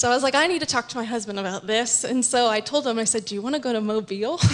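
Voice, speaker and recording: A woman's fairly high-pitched voice with a Midwestern American accent. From Kansas City (Northland area). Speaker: nurse and pastor's wife. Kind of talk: testimony.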